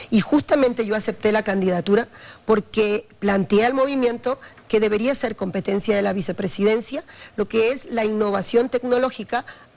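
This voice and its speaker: This woman has an ordinary speaking voice with a fairly high pitch. She talks at a moderate pace with ordinary pitch variation. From Ecuador, Guayaquil. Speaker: vice-presidential candidate. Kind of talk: televised political interview.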